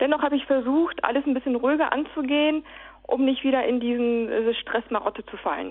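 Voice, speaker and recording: A high-pitched woman's voice, fairly quick, with fairly even intonation. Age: 30s. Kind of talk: interview. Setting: phone call. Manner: halting, many fillers.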